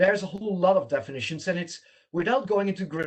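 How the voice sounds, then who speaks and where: With a Dutch accent, a man speaks in a high pitch with lively intonation. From Netherlands. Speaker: smart city consultant. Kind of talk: lecture. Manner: halting.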